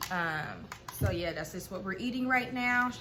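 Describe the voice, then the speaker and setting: With audible room echo around her, a woman with an American accent speaks at a medium pitch with lively intonation. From Ohio, Cincinnati. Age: 20s. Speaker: vlogger. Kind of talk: casual chat. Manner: hesitant, many fillers.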